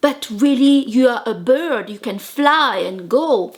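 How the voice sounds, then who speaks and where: A woman speaks with a French accent. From Madagascar. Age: 40s. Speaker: life coach. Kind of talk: motivational talk. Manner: animated.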